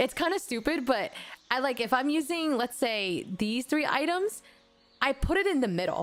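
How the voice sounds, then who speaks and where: Backed by music, a woman with a non-native accent speaks in an animated tone at a high pitch, her pitch swinging very widely while her loudness stays very even. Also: moderate pace. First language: not English. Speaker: vtuber streamer. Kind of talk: casual live-stream chat while gaming.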